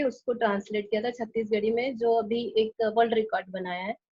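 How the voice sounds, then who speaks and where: A woman with a Chhattisgarh accent, fairly high in pitch, with fairly even intonation. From Chhattisgarh, India. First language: Chhattisgarhi (speaking Hindi). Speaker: translator and author. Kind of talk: interview. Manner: halting, many fillers.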